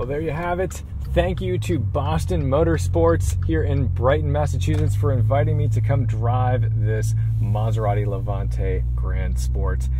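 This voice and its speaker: Over music in the background and with audible room echo, a man with a very deep, low pitch sounds enthusiastic, his pitch swinging very widely. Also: fairly slow pace. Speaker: car reviewer. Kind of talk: car review walkthrough. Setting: in a car.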